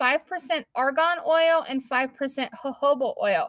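Against a quiet background, a woman's high voice has ordinary pitch variation and a dry sound with no echo. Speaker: craft maker hosting a live. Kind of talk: tutorial. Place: shop. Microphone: phone near.

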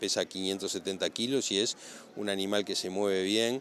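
A man speaks at a moderate pace with fairly low pitch. His tone is fairly bright and his intonation fairly even.

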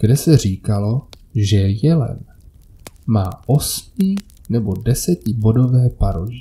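The man's medium-pitched voice is dark and mellow, somewhat breathy, with lively intonation. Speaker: horror story narrator. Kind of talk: scripted horror story narration (first-person creepypasta).

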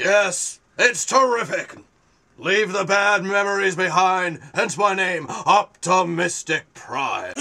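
In a put-on character voice pitched high, a man talks at a fairly slow pace. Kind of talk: comic overacting. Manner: upbeat, then indignant and petulant.

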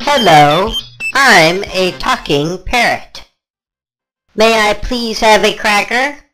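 A cartoonish character voice, fairly high in pitch, very slow in pace, with long, frequent pauses. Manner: increasingly irritated, demanding.

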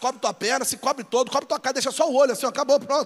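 A loud, animated voice speaks at a very fast pace over a quiet background. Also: man. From Brazil, São Gonçalo (Rio de Janeiro); Rio de Janeiro, Brazil. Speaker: pastor. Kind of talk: sermon. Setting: church with live audience. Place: church. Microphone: handheld.

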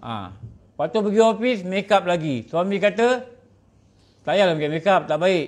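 A man's voice sits high in pitch, moving along fairly slowly with ordinary pitch variation. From Malaysia. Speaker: religious teacher. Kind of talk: religious lecture. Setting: surau meeting room, streamed online. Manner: conversational, frequent fillers. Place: meeting room. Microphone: podium.

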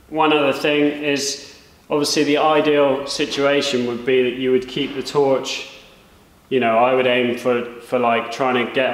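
A man talks at a moderate pace in a monotone, flat delivery. Room echo can be heard around his voice. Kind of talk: tutorial. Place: workshop.

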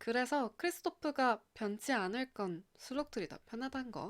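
A woman with an unremarkable speaking voice talks at a fairly slow pace on a very clean recording with a silent background. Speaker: radio-style channel host. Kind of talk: scripted radio-style talk with lyric reading. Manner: warm, friendly, conversational.

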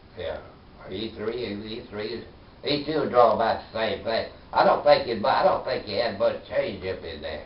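In a room with audible echo, a man with an American accent talks at a moderate pace, his loudness swinging widely. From US South. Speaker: war veteran. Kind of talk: oral history interview. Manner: halting. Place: home room. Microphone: camera far.

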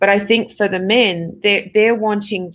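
A woman with an Australian accent speaks with fairly even intonation. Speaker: film director. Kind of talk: interview answers. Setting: video call.

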